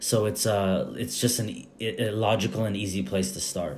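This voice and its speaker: Speaking in an unremarkable speaking voice, a man keeps a moderate pace and ordinary pitch variation. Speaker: podcast host. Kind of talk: podcast interview, casual conversation.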